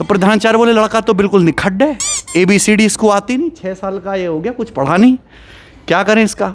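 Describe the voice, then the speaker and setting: A high-pitched male voice with ordinary pitch variation over noticeable background noise. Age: 30s. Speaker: maths teacher. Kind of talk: personal storytelling.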